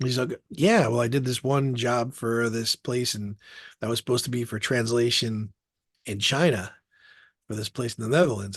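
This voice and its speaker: A man with an unremarkable speaking voice talks at a medium pitch and a moderate pace, fairly even in intonation, in a dry, close sound with no echo. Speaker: voice actor and attorney. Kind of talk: interview answer.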